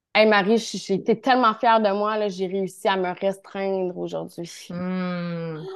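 A woman speaks very slowly at medium pitch with a Quebec accent. Her intonation stays fairly even against a quiet background. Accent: Québécois French. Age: 30s. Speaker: naturotherapist. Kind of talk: casual interview chat.

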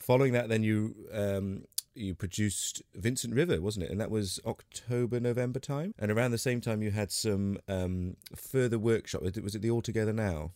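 Dark and mellow in tone, a man with a British accent speaks at a moderate pace with a fairly low pitch and ordinary pitch variation. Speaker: podcast host and singer. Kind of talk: casual interview chat. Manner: friendly, chatty.

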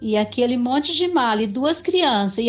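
Over music in the background, a woman speaks at a fairly slow pace with very wide pitch swings. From Brazil. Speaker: retired public servant and travel blogger. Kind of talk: casual chat.

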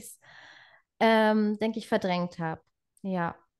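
Against a quiet background, a woman with an unremarkable speaking voice talks at a moderate pace and fairly high pitch. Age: 20s. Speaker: trainee birthkeeper sharing pregnancy loss story. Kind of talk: personal testimony in interview.

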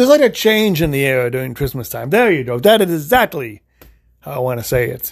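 A man talks very fast at a fairly high pitch. His pitch swings very widely and his loudness rises and falls a lot. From US Midwest (Illinois). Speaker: podcast host. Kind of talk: casual solo podcast monologue. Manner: halting, many fillers and restarts; unscripted, off the cuff.

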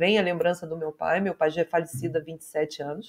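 The woman's voice sits fairly low as she talks at a moderate speed. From Brazil, Nova Friburgo (Rio de Janeiro state). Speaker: technology professional and teacher. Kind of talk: casual interview chat. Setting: live video stream from home.

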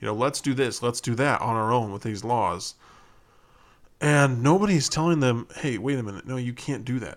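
A man at a medium pitch with an American accent, ordinary pitch variation and a moderate pace, on a very clean recording with a silent background. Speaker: podcast host. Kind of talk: solo opinion podcast monologue. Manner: casual, emphatic, filler-heavy.

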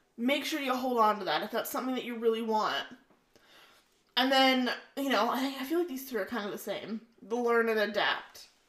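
A woman with a plain, everyday voice speaks in a Canadian accent at a moderate pace. Her pitch sits fairly high and varies in an ordinary way. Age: 20s. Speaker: podcast co-host. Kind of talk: casual chat.

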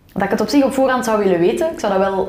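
Over noticeable background noise and audible room echo, a woman speaks in a fairly high voice. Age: 20s. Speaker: podcaster. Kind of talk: casual interview conversation.

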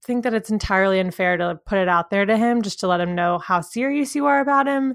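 A woman with an American accent speaks at a fairly quick pace with lively intonation, in an ordinary speaking voice at medium pitch. The recording is very clean, with a silent background. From US South. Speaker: podcast co-host. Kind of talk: casual chat.

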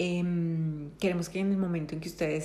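A woman speaks fairly slowly at a fairly low pitch, her intonation fairly even. Audible room echo surrounds her voice. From Colombia. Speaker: podcast co-host, counselor. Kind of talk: casual chat.

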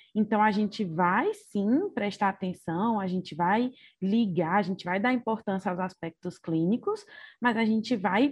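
The woman's voice sits at a medium pitch and comes across somewhat breathy. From Ceará, Brazil. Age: 20s. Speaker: doctor. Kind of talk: casual interview.

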